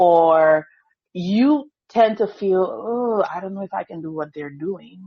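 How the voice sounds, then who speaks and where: Speaking with a Grenadian accent at a fairly slow pace, the woman has a medium pitch and ordinary pitch variation. Her loudness swings widely. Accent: Grenadian Caribbean English. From Grenada. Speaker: school district evaluation coordinator. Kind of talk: podcast interview.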